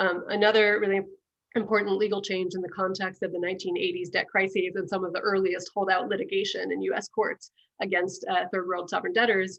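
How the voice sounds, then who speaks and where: In a monotone with flat intonation, a woman speaks at a very fast pace. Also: medium pitch for a woman. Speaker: professor. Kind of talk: academic Q&A. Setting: video call. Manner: hesitant with fillers.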